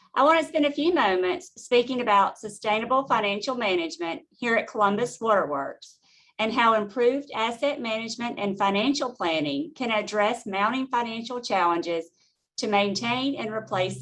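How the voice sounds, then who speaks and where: Fairly high in pitch, a woman speaks at a moderate pace. Her intonation is lively. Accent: Southern US. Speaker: utility finance executive. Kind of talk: webinar presentation.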